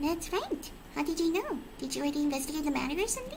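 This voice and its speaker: With clear background noise behind her, a woman rattles off lines at a very fast pace in a squeaky, put-on character voice. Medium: game stream. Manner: smug, salesman-like.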